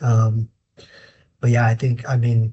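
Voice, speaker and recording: A man's voice sits at a medium pitch. It sounds somewhat breathy. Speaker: inspection company manager. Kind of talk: casual interview.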